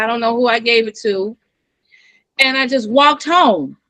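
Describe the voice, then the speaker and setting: A woman speaks at a moderate pace in a raised, projected voice, animated and bright with a sharp tone and ordinary pitch variation. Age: 60s. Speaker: nurse. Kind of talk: casual chat.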